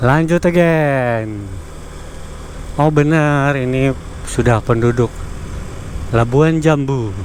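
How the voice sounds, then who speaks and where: Delivered at a very slow pace, the speech shows ordinary pitch variation and long, frequent pauses. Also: man, fairly high pitch for a man. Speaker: motovlogger. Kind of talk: vlog narration while touring. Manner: casual, halting with fillers.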